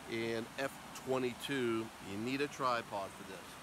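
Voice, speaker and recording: The speech is very slow, the sound is dry with no echo, and background noise is noticeable. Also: man. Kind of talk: casual vlog chat. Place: waterside. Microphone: phone near.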